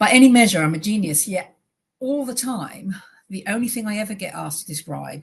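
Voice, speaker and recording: A somewhat breathy woman's voice at a fairly quick pace. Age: 50s. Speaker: charity director. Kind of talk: presentation. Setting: webinar. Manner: fast.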